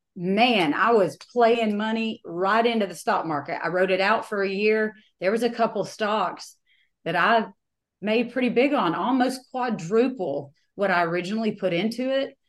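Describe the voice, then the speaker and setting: A woman with an unremarkable speaking voice talks at a moderate pace, her fairly high pitch moving with ordinary variation. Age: 40s. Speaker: home builder and business coach. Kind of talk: interview.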